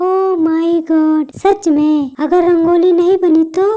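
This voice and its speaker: Using a put-on character voice, a woman speaks at a fairly slow pace, squeaky and extremely high in pitch. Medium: voice reel. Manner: dramatic, exclaiming.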